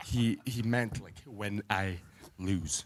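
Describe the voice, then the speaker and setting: The man has an unremarkable speaking voice at a fairly low pitch. His intonation is lively. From Canada. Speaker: arm wrestler. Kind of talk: press conference trash talk. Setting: hotel press conference.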